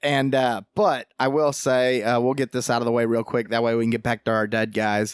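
With hardly any pauses, a man with an unremarkable speaking voice talks at medium pitch, with fairly even intonation and very even loudness, on a very clean recording with a silent background. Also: fairly quick pace. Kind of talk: casual chat.

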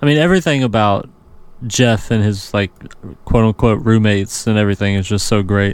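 Here is an unremarkable speaking voice, a man's, fairly low in pitch with an American accent. He talks at a fairly quick pace, with ordinary pitch variation and very even loudness. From US South. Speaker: podcast host. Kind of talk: casual chat.

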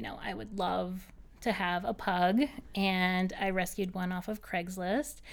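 A woman with an American accent and a normal speaking voice talks at a medium pitch and a fairly slow pace, with ordinary pitch variation. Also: very clean recording, silent background. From Boston North Shore, US. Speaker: pet store owner. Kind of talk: casual interview chat.

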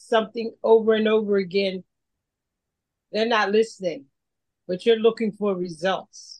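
A woman with a Philadelphia accent talks at a moderate pace, her fairly high pitch showing ordinary variation. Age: 70s. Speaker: podcast co-host. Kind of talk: casual panel discussion. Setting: remote call.

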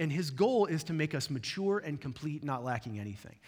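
A man is speaking. His pitch swings very widely. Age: 40s. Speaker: pastor. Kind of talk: sermon. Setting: church.

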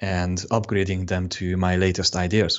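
Speaking at a very slow pace, a man with a Hungarian accent has a very deep, low pitch. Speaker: web designer. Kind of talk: interview.

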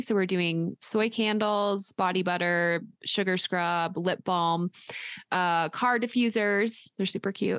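A woman speaks at a medium pitch with ordinary pitch variation, her voice dry and close with no echo against a quiet background. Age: 30s. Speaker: podcast co-host, adoptee. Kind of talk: casual chat.

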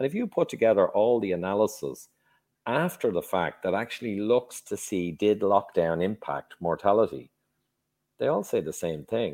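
A man with an Irish accent, a fairly low pitch and lively intonation, on a very clean recording with a silent background. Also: moderate pace. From Ireland. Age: 50s. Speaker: engineer and health author. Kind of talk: podcast interview.

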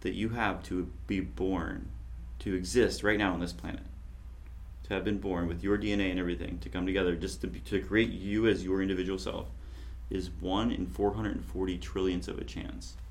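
A man speaks with a very deep, low pitch and vocal fry. His pitch swings very widely. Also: moderate pace. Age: 40s. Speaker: podcast host. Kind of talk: casual chat.

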